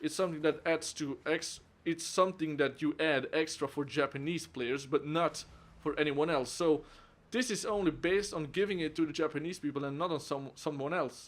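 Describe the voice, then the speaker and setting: Speaking with a Flemish accent, a man has fairly high pitch. His intonation stays fairly even at a moderate pace. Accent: Flemish Dutch accent in English. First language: Dutch (Flemish). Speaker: game reviewer. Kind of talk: video game review.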